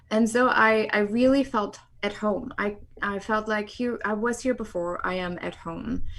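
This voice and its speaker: A moderate pace in a German accent, with fairly even intonation. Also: woman, fairly high pitch for a woman. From East Germany. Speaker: sociologist and film producer. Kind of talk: interview.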